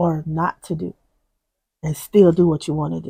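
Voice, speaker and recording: Soft-spoken and somewhat breathy, a woman speaks with a dark, mellow, fairly low voice in a dry, close recording with no echo. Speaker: faith-based video host. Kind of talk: inspirational talk.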